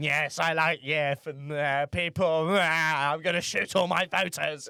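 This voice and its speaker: A put-on character voice from a man, fairly high-pitched and fairly slow, on a very clean recording with a silent background. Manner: exaggerated vampire voice.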